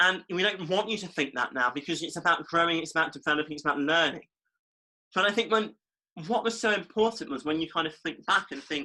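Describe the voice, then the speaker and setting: A man with an East Midlands accent, high-pitched, at a very fast pace with ordinary pitch variation. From East Midlands, England. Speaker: podcast co-host. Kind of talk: casual chat.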